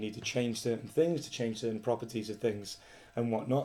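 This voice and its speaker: A man with a British accent, a dark, mellow tone, and fairly even intonation. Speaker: coding tutorial presenter. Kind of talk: tutorial. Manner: casual.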